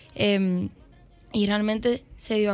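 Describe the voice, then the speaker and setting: Music plays in the background. A woman speaks at a medium pitch. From Dominican Republic, Santo Domingo. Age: 20s. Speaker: urban music singer. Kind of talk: interview.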